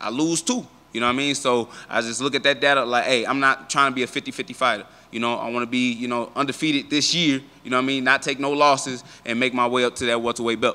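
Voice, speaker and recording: A man's bright, sharp voice rushes at a very fast pace in a monotone, flat intonation. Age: 20s. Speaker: professional MMA fighter. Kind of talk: media interview. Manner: casual, filler-heavy. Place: hall. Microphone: handheld.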